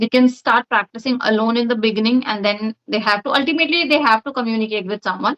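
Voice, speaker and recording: Speaking very fast with an Indian accent, a woman uses ordinary pitch variation. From India, Uttar Pradesh. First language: Hindi. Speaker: English conversation practice partner. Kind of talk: casual chat.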